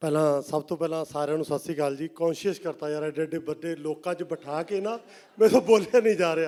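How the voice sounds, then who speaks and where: Against a very clean recording with a silent background, a man with a Punjabi accent talks at a moderate pace. His voice is fairly high and dark and mellow in tone, with ordinary pitch variation. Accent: Punjabi-tinged Hindi. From Punjab, rural. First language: Punjabi (speaking Hindi). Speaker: film director and writer. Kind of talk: stage interview. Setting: stage with audience.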